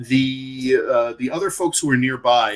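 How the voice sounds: Lively intonation in a natural reading voice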